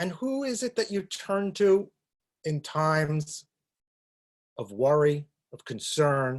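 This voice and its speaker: In a New York accent, a man speaks at a fairly high pitch with very wide pitch swings, a very slow pace, and long, frequent pauses. The very clean recording has a silent background and a dry, close sound with no echo. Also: big swings in loudness. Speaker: rabbi. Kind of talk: talk on a religious topic.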